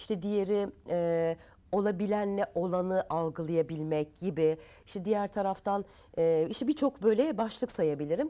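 Her tone is dark and mellow. This woman speaks at a moderate pace with lively intonation. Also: medium pitch for a woman. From France until age 10, then Turkey. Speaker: guest. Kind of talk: talk show interview. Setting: TV studio. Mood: earnest, reflective. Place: studio. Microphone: lapel.

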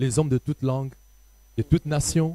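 Dry with no echo, a man's somewhat breathy, dark, mellow voice moves at a fairly quick pace. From DR Congo. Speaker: pastor. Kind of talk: panel discussion. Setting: studio. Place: stage. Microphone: handheld.

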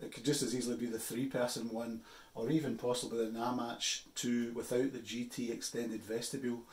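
A man's voice with audible room echo. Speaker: outdoor gear reviewer. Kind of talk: casual vlog chat. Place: office. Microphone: phone near.

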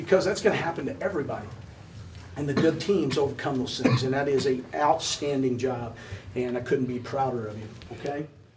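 A man with a medium pitch talks at a fairly quick pace with ordinary pitch variation over noticeable background noise. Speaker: basketball head coach. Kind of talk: locker-room pep talk after a win, praising the team. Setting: locker room with team. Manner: emphatic, warm and proud, repeating words for emphasis. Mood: proud, praising. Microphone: camera far.

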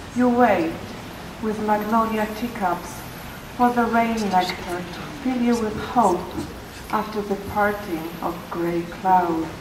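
A woman speaks very slowly with a Polish accent, pausing long and often. Her fairly high pitch shows ordinary variation, with noticeable background noise behind her. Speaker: poet. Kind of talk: poetry reading. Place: garden. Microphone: podium.

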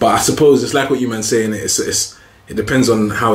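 In a room with audible echo, a man talks at a fairly quick pace with ordinary pitch variation. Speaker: podcast co-host. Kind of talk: casual podcast chat. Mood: joking, laughing. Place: home room.

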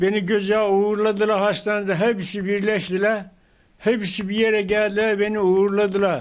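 With a quiet background, a man speaks at a fairly slow pace in a high pitch and a monotone, flat intonation. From Isparta, Turkey. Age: 90s. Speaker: elderly COVID-19 survivor. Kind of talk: interview answer. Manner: slow, halting. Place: home room. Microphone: handheld.

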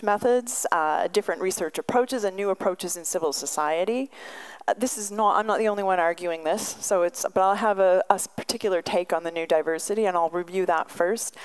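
Pitch varies in an ordinary manner. This woman keeps up a fairly quick pace. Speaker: visiting professor giving a lecture. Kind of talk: lecture. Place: hall. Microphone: podium.

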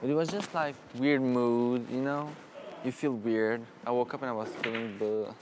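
Noticeable background noise accompanies a man speaking. His pace is moderate and his pitch variation ordinary. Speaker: reality show contestant. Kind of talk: casual chat. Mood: mildly glum, tired. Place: home room. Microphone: lapel.

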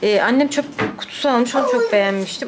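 A woman with ordinary pitch variation over loud background noise. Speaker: vlogger. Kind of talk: casual vlog chat. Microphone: phone near.

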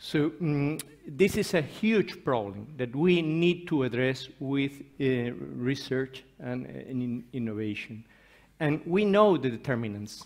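With a Spanish accent, a fairly high-pitched man speaks at a fairly slow pace, his intonation lively. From Spain. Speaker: professor and nutrition researcher; professor. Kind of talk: conference talk. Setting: conference stage with audience. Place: hall.

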